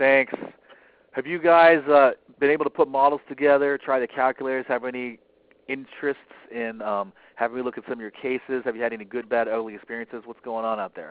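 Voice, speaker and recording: A man's medium-pitched voice at a very fast pace, with big swings in loudness. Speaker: financial advisor trainer. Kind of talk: webinar training talk. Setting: conference call. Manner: animated.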